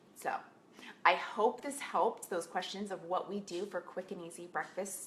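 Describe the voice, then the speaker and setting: Background noise is noticeable while this woman talks with ordinary pitch variation. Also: medium pitch for a woman, moderate pace. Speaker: health coach. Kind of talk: casual tutorial.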